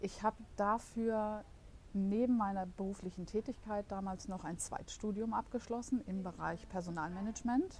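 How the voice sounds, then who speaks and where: A woman talks at a moderate pace and medium pitch. Her voice is somewhat breathy, with fairly even intonation. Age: 50s. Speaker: marketing assistant and virtual collaboration coach. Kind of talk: podcast interview. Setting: studio.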